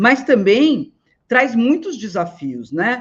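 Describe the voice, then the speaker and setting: Her pitch swings very widely as the woman speaks. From Northeast Brazil. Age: 60s. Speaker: elder care manager and business owner. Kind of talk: webinar lecture. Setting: online live stream. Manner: hesitant, many fillers.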